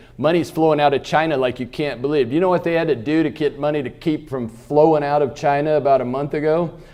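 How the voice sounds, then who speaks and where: A fairly high-pitched man with an American accent, animated in tone and talking at a fairly quick pace. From Kansas. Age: 60s. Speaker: economist, keynote speaker. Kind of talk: keynote speech. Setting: luncheon stage with audience. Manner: animated, humorous.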